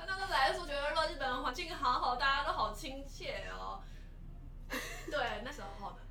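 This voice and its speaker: A woman's raised, projected voice in a Taiwanese accent, high in pitch with ordinary pitch variation, big swings in loudness and a moderate pace. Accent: Taiwanese Mandarin. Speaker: lawyer turned PR worker abroad. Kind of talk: casual interview chat.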